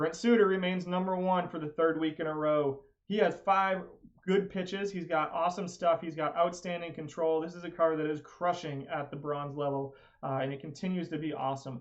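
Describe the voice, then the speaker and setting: A man's high voice at a fairly quick pace with fairly even intonation. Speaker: video game streamer. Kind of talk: live stream commentary. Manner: fast.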